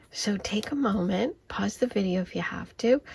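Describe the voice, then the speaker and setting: Quietly and at a fairly slow pace, a woman speaks. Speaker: tarot reader. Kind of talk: tarot card reading. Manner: quiet, hushed.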